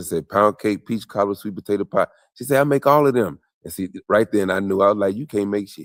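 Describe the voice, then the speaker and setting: With a Southern US accent, a man talks at a very fast pace with ordinary pitch variation in a dry, close sound with no echo. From US South (Mississippi, Texas). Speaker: journalist and storyteller. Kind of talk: casual interview conversation. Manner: animated, repeats words when starting.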